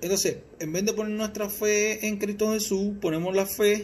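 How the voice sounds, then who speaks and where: In a Puerto Rican accent, a man speaks at a very slow pace against light background noise. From Puerto Rico, Mayagüez; Puerto Rico. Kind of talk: religious teaching talk. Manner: halting, repeats words. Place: home room. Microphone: phone near.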